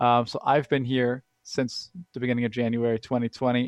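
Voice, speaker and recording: A man with a normal speaking voice at a medium pitch, a fairly slow pace, and a dry, close sound with no echo. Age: 20s. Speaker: app company liaison, blind user. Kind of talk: interview.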